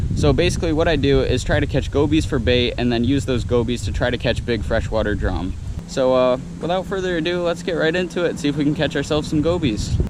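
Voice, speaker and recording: Delivered at a very fast pace with very even loudness, the speech carries noticeable background noise and audible room echo. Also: man, fairly high pitch for a man. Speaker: fishing vlogger. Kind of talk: vlog narration. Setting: outdoors at a beach channel. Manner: casual; quiet.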